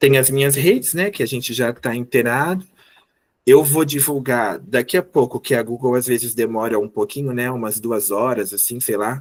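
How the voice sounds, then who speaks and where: A man at medium pitch and moderate pace, with ordinary pitch variation and an unremarkable speaking voice. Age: 30s. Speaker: teacher. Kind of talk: online lecture.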